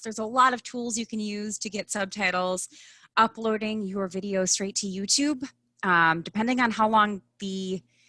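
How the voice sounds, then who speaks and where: With a strong Midwestern US accent, a woman speaks in a bright, sharp tone and fairly even intonation. The sound is dry and close, with no echo. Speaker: personal branding expert. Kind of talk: live online event interview.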